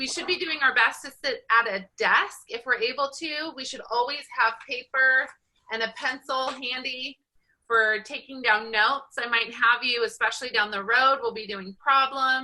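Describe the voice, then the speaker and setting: A woman's high-pitched, bright, sharp voice with an American accent, ordinary pitch variation and big swings in loudness. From Southern California. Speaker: college statistics instructor. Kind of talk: online class lecture. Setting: video call. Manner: fast.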